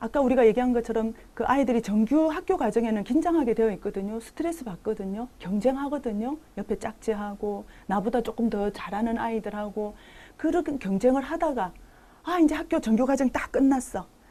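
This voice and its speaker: Over a very clean recording with a silent background, a woman with a fairly high pitch and dark, mellow tone speaks at a moderate pace with lively intonation. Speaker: lecturer. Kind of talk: lecture. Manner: animated, acts out dialogue.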